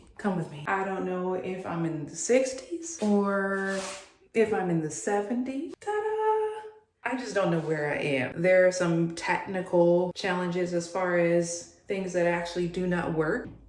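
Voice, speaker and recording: Through audible room echo and noticeable background noise, a woman speaks fairly slowly at a medium pitch. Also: ordinary pitch variation, hardly any pauses. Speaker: DIY lifestyle vlogger. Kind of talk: casual vlog narration. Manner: whispering quietly.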